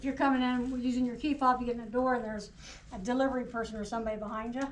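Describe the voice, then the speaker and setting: Talking at a very fast pace in a Southern US accent, a woman with a high pitch keeps a monotone, flat intonation amid audible room echo. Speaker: cybersecurity trainer. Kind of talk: workplace training presentation. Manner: short phrases paused for interpreter.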